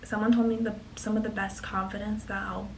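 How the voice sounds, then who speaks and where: Quiet and at a fairly quick pace, a woman talks through noticeable background noise and audible room echo. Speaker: college student vlogger. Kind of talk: casual advice vlog.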